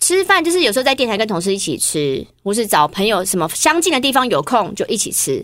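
Speaking at a very fast pace with hardly any pauses, a woman with a fairly high pitch and vocal fry swings her pitch very widely in a very clean recording with a silent background. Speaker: TV and radio host. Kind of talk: casual chat. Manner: steady, composed; chatty.

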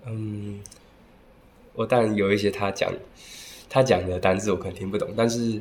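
Over noticeable background noise, a man with a fairly low pitch speaks at a moderate pace in a monotone, flat intonation, with long, frequent pauses. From Taiwan. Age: 20s. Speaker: language school student. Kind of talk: interview.

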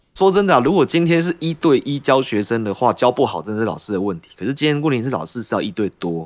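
A man at medium pitch races along at a very fast pace with hardly any pauses, very wide pitch swings, and big swings in loudness. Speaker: social studies teacher. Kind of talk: casual chat.

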